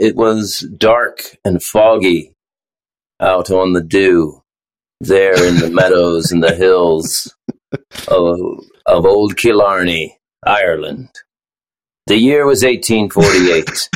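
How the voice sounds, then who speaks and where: A man's put-on character voice, very deep and low in pitch, at a very slow pace and very even loudness. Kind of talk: storyteller. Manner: dramatic, theatrical.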